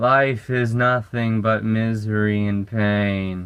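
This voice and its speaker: The man puts on a character voice at a medium pitch. He speaks at a very slow pace. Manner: slouching, slack, gloomy.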